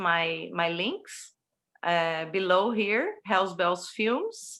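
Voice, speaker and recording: A woman with a Portuguese accent speaks at a very slow pace in a bright, sharp tone. The recording is very clean, with a silent background. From Brazil. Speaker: horror film producer and director. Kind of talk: interview. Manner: halting.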